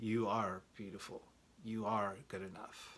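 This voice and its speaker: A man puts on a soft-spoken character voice with a fairly low pitch. He delivers it at a fairly slow pace. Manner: soothing.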